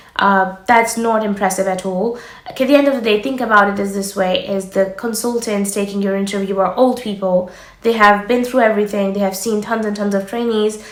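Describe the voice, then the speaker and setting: Fairly quick pace and ordinary pitch variation, with audible room echo and noticeable background noise. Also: woman. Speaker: doctor and medical careers youtuber. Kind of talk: advice vlog. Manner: fast-paced.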